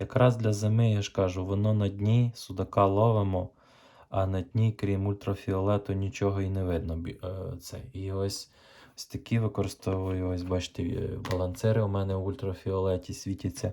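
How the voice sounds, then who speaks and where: A man's dark, mellow voice sits at a fairly low pitch, flat and monotone at a moderate pace. The recording is very clean, with a silent background. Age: 30s. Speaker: fishing vlogger. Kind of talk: tutorial. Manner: casual, halting.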